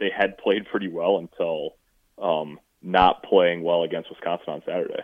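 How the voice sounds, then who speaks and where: A man talks at a fairly slow pace. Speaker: sports reporter. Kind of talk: phone interview about football. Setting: phone call. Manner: serious, serious-sounding.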